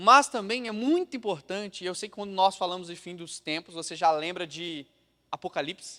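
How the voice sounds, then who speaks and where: A man projects a raised voice, high in pitch, with a bright, sharp tone and big swings in loudness. He keeps a moderate pace with ordinary pitch variation, on a very clean recording with a silent background. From Brazil, Minas Gerais (Juiz de Fora). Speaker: pastor. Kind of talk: sermon. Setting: church.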